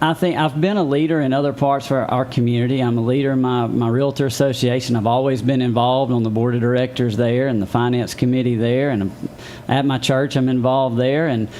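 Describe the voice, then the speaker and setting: A man with a Southern US accent talks at a very fast pace and a medium pitch. His intonation is fairly even, his loudness very even, and there is noticeable background noise. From Mississippi (Meridian). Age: 40s. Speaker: city council candidate and realtor. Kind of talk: interview.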